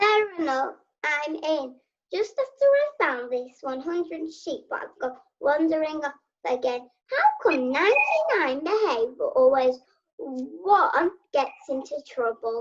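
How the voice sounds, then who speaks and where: A woman puts on a character voice, pitched high and delivered fairly slowly. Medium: stage play. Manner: dry, jokey.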